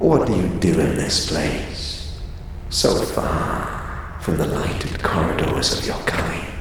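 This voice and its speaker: The speaker uses a put-on character voice at a fairly slow pace. There is strong echo and clear background noise. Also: man. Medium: audio drama. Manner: cold, clipped, speaks as we.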